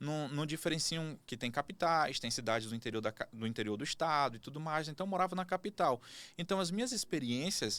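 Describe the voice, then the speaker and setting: A man speaks at a fairly high pitch and a fairly quick pace with lively intonation, on a very clean recording with a silent background. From Manaus, Amazonas, northern Brazil. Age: 30s. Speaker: actor and engineer, podcast guest. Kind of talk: casual interview chat.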